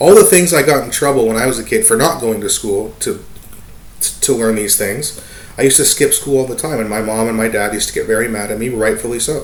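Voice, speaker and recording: A man talks at a very fast pace, with audible room echo and noticeable background noise. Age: 30s. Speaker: vlogger giving opinion. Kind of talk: casual opinion monologue. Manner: halting, many fillers.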